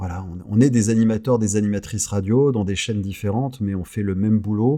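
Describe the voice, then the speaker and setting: On a very clean recording with a silent background, a man with a dark, mellow tone and fairly low pitch talks fairly quickly with fairly even intonation. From southern France (Carcassonne, Clermont-Ferrand). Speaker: radio host. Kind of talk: casual interview chat. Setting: podcast studio, no headphones.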